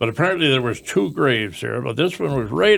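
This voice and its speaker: Vocal fry runs through this voice with a northern Ontario accent at a moderate pace. The recording is very clean, with a silent background. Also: man. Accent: rural northern Ontario Canadian. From northern Ontario, Canada. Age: 80s. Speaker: elderly local resident sharing memories. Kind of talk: reminiscing interview. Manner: halting, with frequent false starts.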